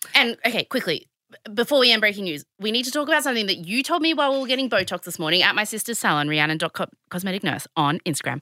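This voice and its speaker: This woman speaks with an Australian accent in a bright, sharp tone. Her fairly high voice makes very wide pitch swings. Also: dry, close sound with no echo, very clean recording, silent background. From Australia, Sydney. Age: 30s. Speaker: podcast co-host. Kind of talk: casual chat. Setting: studio.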